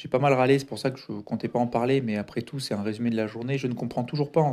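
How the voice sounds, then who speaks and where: A man speaks with a medium pitch and monotone, flat intonation. The recording is very clean, with a silent background. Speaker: podcaster. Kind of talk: solo diary-style monologue. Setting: home recording. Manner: hesitant with many fillers. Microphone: foam added to dampen echo.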